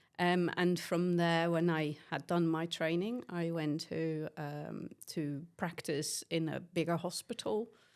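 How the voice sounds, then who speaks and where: Recorded very cleanly over a silent background, a woman with a fairly low pitch and fairly even intonation speaks at a very slow pace with hardly any pauses. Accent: Dutch. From Netherlands. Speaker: nursing lecturer. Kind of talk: casual interview.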